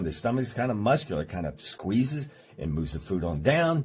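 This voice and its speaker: This man's voice is somewhat breathy. His pitch swings very widely at a moderate pace. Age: 60s. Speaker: chiropractor. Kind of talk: radio health talk show. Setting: studio.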